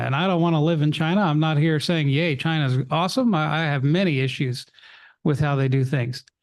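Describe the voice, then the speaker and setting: Here a man talks with an American accent and a fairly high pitch. The background is quiet. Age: 60s. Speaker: school board trustee. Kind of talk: board meeting remarks. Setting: school board meeting room. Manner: animated.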